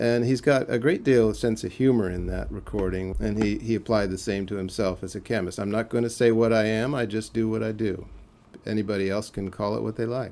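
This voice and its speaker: The man has an ordinary speaking voice, pitched fairly low, with fairly even intonation and a fairly quick pace. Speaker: biographer. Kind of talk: interview answer.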